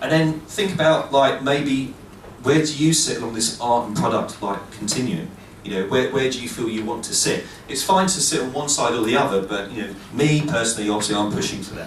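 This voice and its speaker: Amid noticeable background noise and audible room echo, a man at medium pitch talks at a moderate pace with lively intonation. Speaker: PhD student giving a games talk. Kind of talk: conference talk with Q&A.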